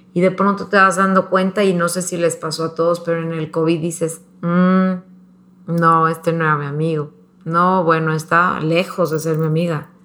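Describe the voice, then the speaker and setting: Her voice fairly low for a woman, she speaks in a monotone, flat way. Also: moderate pace. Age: 40s. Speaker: mother and interview guest. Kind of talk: casual chat.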